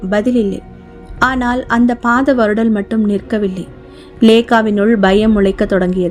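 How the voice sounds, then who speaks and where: Music plays in the background as a woman with a fairly high pitch speaks with fairly even intonation. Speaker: author and narrator. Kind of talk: horror audiobook narration.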